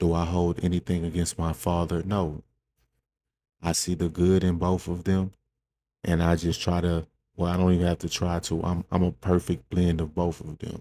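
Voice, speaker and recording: A man speaks softly at a moderate pace. His tone is dark and mellow, with a very deep, low pitch. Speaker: podcast host. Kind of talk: personal monologue. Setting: indoors in a room at home. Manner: soft-spoken; halting.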